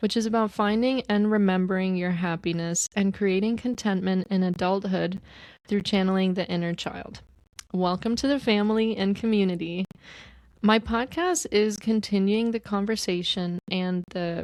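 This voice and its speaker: This is a normal speaking voice from a woman at a medium pitch, with fairly even intonation and a moderate pace. The recording is very clean, with a silent background. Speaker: podcast host; author. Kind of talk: podcast introduction. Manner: warm, welcoming.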